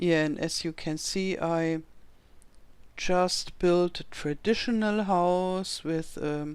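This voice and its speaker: A woman speaks at a very slow pace with a German accent, her pitch fairly low. Her intonation stays fairly even in a very clean recording with a silent background. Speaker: video game youtuber. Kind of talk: gameplay commentary. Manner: halting.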